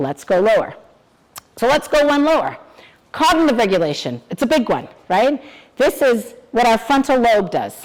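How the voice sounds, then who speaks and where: A woman's voice with very wide pitch swings. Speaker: psychologist giving staff training. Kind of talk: lecture.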